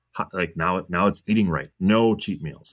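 A man with an American accent and fairly even intonation, on a very clean recording with a silent background. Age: 30s. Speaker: sports agent. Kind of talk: interview conversation.

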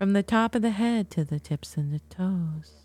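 A woman speaks in a somewhat breathy voice with a dark, mellow, soothing and calm tone. The recording is very clean and dry, with a close sound, no echo and a silent background. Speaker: podcast host and guided meditation leader; astrologer and hypnotherapist. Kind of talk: guided meditation; educational talk then guided meditation. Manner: slow, soft, soothing and hypnotic with long pauses; calm, gentle, measured pacing.

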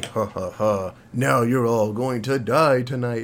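Over clear background noise, a man uses a put-on character voice at medium pitch and a fairly slow pace. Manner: menacing, gloating laughter.

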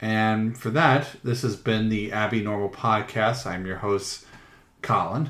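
A man with an unremarkable speaking voice talks at medium pitch and a fairly slow pace. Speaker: podcast host. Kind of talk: casual chat.

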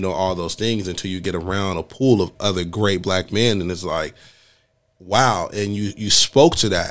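This man's pitch is fairly low and varies in an ordinary way. He talks at a moderate pace in an unremarkable speaking voice. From Los Angeles. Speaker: podcast host. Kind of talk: casual interview.

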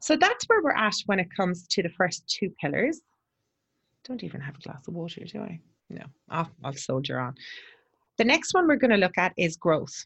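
A woman at a medium pitch, with very wide pitch swings, a moderate pace and long, frequent pauses. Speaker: podcast host for agency owners. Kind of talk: solo monologue. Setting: borrowed office in New Haven.

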